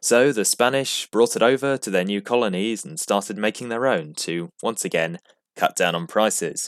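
A man speaks at medium pitch and a moderate pace, his intonation lively. The sound is dry and close with no echo. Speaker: podcast host. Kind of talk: scripted narration, sarcastic history podcast. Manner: sarcastic, wry.

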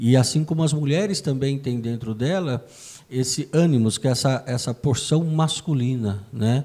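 A man talks at a moderate pace with medium pitch and ordinary pitch variation. His tone is dark and mellow, and somewhat breathy. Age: 50s. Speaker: podcast co-host, union director. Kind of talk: casual music discussion.

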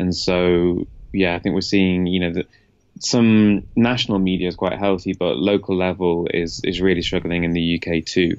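Moderate pace and fairly even intonation from a man with a very deep, low pitch. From northern England, Leeds. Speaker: tech journalist. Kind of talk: interview. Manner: hesitant, many ums.

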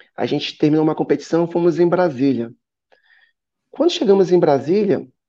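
A man's high-pitched voice with a dark, mellow tone, lively intonation and a moderate pace. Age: 30s. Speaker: business owner. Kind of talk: casual interview. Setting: live stream.

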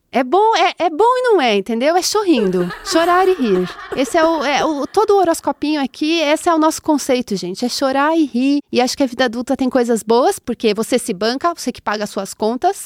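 Pitched high, a woman talks at a fairly quick pace with hardly any pauses and very wide pitch swings, in a dry, close sound with no echo. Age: 30s. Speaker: astrologer and podcast host. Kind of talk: casual chat.

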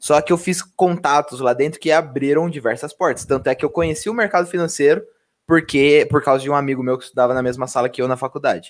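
Ordinary pitch variation and a fairly high pitch mark this man's voice. He speaks at a very fast pace in a very clean recording with a silent background. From Mogi, greater São Paulo. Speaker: podcast host, engineer. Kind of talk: casual chat.

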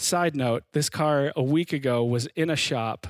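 This man has an unremarkable speaking voice at a fairly high pitch with ordinary pitch variation. The recording is very clean with a silent background. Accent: American. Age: 30s. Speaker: pastor. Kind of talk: sermon.

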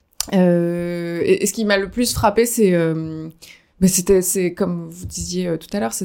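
On a very clean recording with a silent background, a woman talks at a very slow pace with fairly low pitch, fairly even intonation and a dark, mellow tone. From France, Dordogne. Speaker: recent convert. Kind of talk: testimony. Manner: halting.

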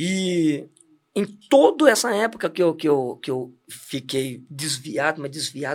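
This man's fairly high voice has lively intonation. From Santos, São Paulo, Brazil. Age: 40s. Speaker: church deacon. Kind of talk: testimony. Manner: animated.

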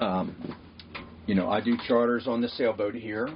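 Over noticeable background noise, a man with a medium pitch talks at a fairly slow pace. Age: 60s. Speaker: podcast host, sailboat charter captain. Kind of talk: casual chat.

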